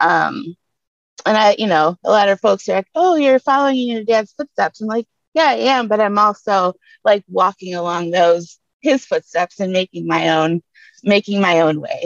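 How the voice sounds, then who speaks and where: A woman with a Detroit accent speaks at a moderate pace and medium pitch. Her intonation is lively, and the sound is dry and close with no echo. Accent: Detroit (Inland North) American. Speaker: community seed keeper and educator. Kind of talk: panel discussion.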